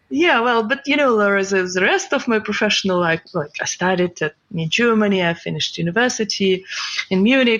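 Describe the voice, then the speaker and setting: A woman speaks at a fairly quick pace with a non-native accent. Her loudness stays very even while her intonation is lively. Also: medium pitch for a woman. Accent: foreign. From Ukraine. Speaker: crypto company CEO. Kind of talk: interview.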